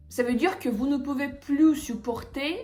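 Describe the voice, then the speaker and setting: A woman's high-pitched voice with lively intonation, music playing in the background. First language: Russian (speaking French). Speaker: language teacher. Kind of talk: tutorial. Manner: hesitant, with filler sounds.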